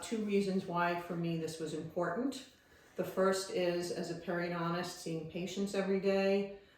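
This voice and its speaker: A woman with fairly even intonation, amid noticeable background noise and audible room echo. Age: 60s. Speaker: dentist sharing patient experience. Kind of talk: informal tutorial / testimony. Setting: self-recorded video.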